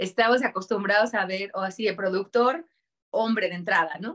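A woman's voice with ordinary pitch variation. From Mexico, Durango. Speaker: voice actor and producer. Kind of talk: interview. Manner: animated.

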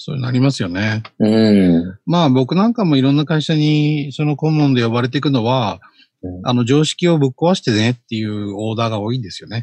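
A man speaks in an ordinary speaking voice at a fairly quick pace, his pitch medium and his intonation lively. The sound is dry and close, with no echo. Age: 50s. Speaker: social media consultant. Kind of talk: casual chat.

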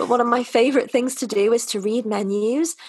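In a North Welsh accent, a woman speaks at a moderate pace with a fairly high pitch and ordinary pitch variation. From North Wales. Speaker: vegan lifestyle influencer and English teacher. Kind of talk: casual interview chat.

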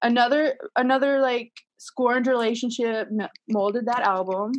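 With an American accent, a woman speaks at a moderate pace in a high voice, her intonation fairly even and her speech broken by long, frequent pauses. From Utah. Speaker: guest improviser. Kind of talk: casual chat.

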